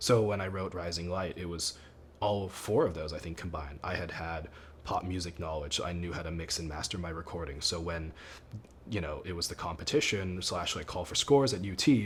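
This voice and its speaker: Somewhat breathy, a man with a very deep, low pitch speaks at a fairly quick pace with ordinary pitch variation. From Thailand, then US. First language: Thai. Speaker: composer. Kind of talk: interview. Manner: casual, with many fillers.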